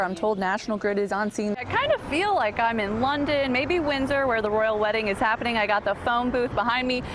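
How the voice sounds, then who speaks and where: Over noticeable background noise, a woman speaks at a fairly quick pace in a fairly high pitch, with ordinary pitch variation. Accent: American. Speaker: television news reporter. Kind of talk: TV news reporter stand-up and package narration. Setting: outdoors on location.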